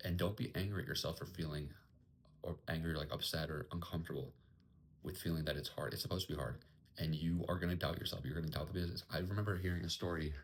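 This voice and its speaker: A quiet, somewhat breathy man's voice, very deep and low in pitch with ordinary pitch variation, at a very fast pace. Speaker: entrepreneur vlogger. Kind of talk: casual vlog monologue. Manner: quiet, kept down.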